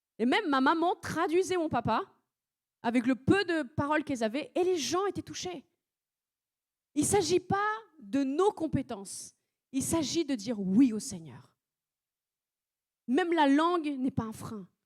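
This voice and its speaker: A woman's high, widely swinging voice with a non-native accent, at a fairly slow pace with long, frequent pauses, dry and close with no echo, on a very clean recording with a silent background. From France (arrived at age seven). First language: not French (speaking French). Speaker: preacher. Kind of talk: sermon. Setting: church service.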